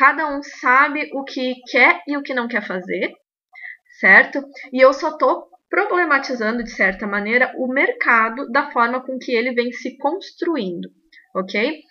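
Raised and projected, a woman's high voice has a bright, sharp tone. She speaks at a fairly slow pace with lively intonation. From Rio Grande do Sul, Brazil. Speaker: belly dance teacher and podcast host. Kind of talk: podcast monologue, opinion commentary.

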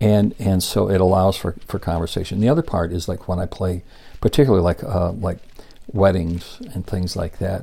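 Somewhat breathy and dark, mellow in tone, a man talks at a fairly quick pace and a very deep, low pitch with ordinary pitch variation. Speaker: podcast host, musician. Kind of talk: casual interview chat. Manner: casual, filler-heavy, repeats words.

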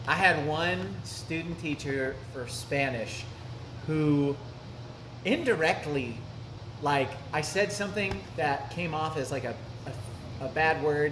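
A man is speaking with noticeable background noise. Audible echo fills the room. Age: 20s. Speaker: podcast host. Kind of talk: casual chat. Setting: cafe.

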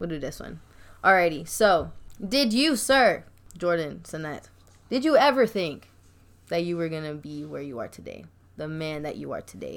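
At a moderate pace, a woman speaks with big swings in loudness and long, frequent pauses. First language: Spanish. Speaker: podcast host. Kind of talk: casual interview.

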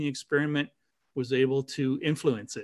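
With a Canadian accent, a man speaks at a fairly quick pace against a quiet background. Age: 60s. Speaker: dowser and spiritual teacher. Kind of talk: casual interview chat.

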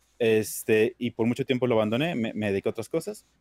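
A man rattles off his words at a very fast pace, his pitch varying in an ordinary way. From Mexico, Durango (northern Mexico). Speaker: streamer. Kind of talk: casual chat.

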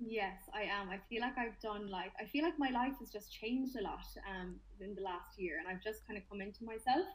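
With a Limerick accent, a woman talks at a fairly high pitch and a fairly quick pace, somewhat breathy, with ordinary pitch variation and hardly any pauses. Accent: Irish, Limerick. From Limerick, Ireland. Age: 20s. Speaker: personal trainer and fitness influencer. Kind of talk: casual interview chat.

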